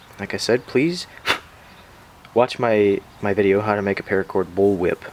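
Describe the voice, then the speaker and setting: Behind a man's fairly level intonation, background noise is clearly audible. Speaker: whip maker. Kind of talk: tutorial. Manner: relaxed, instructional.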